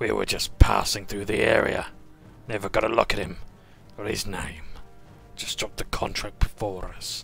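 A man puts on a character voice at a fairly low pitch and a moderate pace. Long, frequent pauses come through over clear background noise. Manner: grudging, wary.

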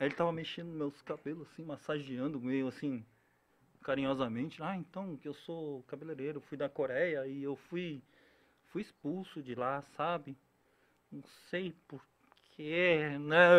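Long, frequent pauses break up a man's fairly slow speech. His pitch is fairly high and his intonation fairly even. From Brazil, Korean-Brazilian family. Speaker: actor, impressionist and comedian; podcast guest, comedian, voice actor. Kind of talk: casual chat. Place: studio. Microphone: studio mic.

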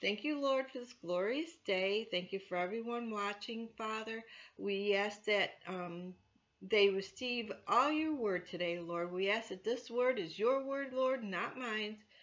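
Speaking at a fairly slow pace, a woman shows ordinary pitch variation. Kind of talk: announcements then spoken prayer. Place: home room. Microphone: webcam.

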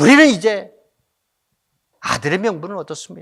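Swinging very widely in pitch, a man talks with vocal fry. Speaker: pastor. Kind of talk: sermon. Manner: impassioned, exhorting.

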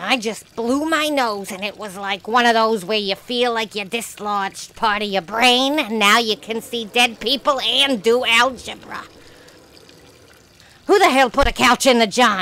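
A female-sounding cartoonish character voice moves at a moderate pace with a fairly high pitch. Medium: puppet show. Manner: sarcastic, ranting.

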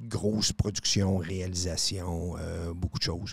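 The man's voice sits very deep and low and sounds somewhat breathy. His intonation stays fairly even. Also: dry sound with no echo. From Quebec City (Charlesbourg); Quebec. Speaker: radio host. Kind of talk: casual chat. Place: studio. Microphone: studio mic.

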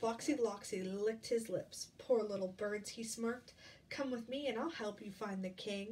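Ordinary pitch variation in a natural voice reading aloud.

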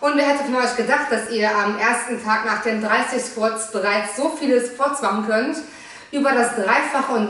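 A woman talks at a moderate pace. Some room echo can be heard. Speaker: fitness trainer. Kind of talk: workout instruction. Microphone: camera far.

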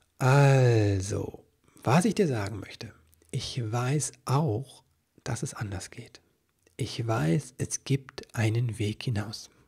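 A man speaks at a very slow pace in a somewhat breathy, medium-pitched voice with ordinary pitch variation. The background is quiet. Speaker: parenting coach and podcast host; parenting coach, podcast host. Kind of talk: solo podcast monologue about a coaching program. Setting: solo recording on video. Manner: halting, with many fillers. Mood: earnest, personal, calm. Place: home room. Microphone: studio mic.

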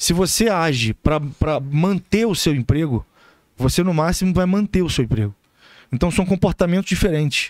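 Against a quiet background, the speech moves at a moderate pace with lively intonation and very even loudness, the sound dry with no echo. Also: man, high pitch for a man. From Brazil. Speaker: relationship expert; podcast guest, relationship coach. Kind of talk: casual chat. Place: studio. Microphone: studio mic.

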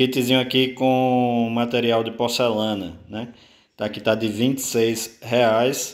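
A man speaks at a medium pitch in a flat monotone. His pace is very slow. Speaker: small breeder and incubator parts seller. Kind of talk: sales pitch reading out a price list item by item. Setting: video recording for online channel. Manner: urgent, pushing viewers to hurry.

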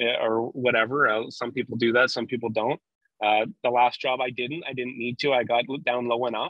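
A man talks in a monotone, with flat intonation. The sound is dry with no echo, over a quiet background. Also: moderate pace. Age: 20s. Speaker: refrigeration construction foreman; guest. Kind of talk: casual technical interview. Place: car. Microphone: video call.

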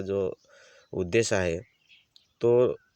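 A man with a normal speaking voice speaks with fairly even intonation, the sound dry and close with no echo. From Maharashtra, Surgana area (Nashik district), Adivasi community. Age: 40s. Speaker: vlogger. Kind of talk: casual explanatory vlog.

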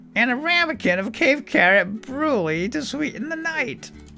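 With clear music in the background, a high-pitched put-on character voice moves at a moderate pace.

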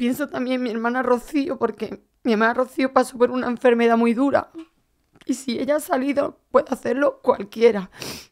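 At a high pitch, a woman speaks at a moderate pace with fairly even intonation. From Andalusia, Spain (Málaga); Andalusia, Spain. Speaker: athlete, heart transplant recipient; podcast guest. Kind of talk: interview. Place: studio. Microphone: studio mic.

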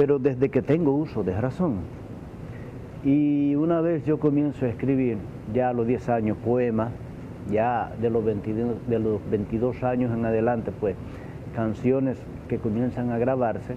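A man talks at a fairly slow pace with long, frequent pauses. Noticeable background noise runs underneath. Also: ordinary pitch variation. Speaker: interviewee. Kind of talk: interview answer. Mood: thoughtful, romantic topic. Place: bar. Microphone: lapel.

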